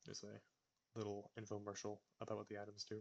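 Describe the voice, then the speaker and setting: Here a man speaks at a very fast pace in a fairly low pitch. He is soft-spoken. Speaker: gaming video creator. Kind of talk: gameplay commentary. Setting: home recording. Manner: quiet, talking softly; audible heavy breathing.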